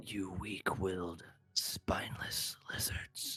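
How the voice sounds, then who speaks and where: In a put-on character voice, the speaker whispers at a very slow pace. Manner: whispering, disgusted.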